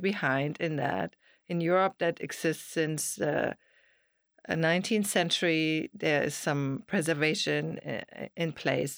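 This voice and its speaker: A woman's very deep, low voice with a German accent, ordinary pitch variation, a fairly slow pace and a dry, close sound with no echo. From Germany. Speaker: realtor and architectural historian. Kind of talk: casual interview.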